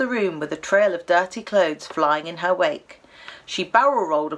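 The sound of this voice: Reading in an unforced reading voice.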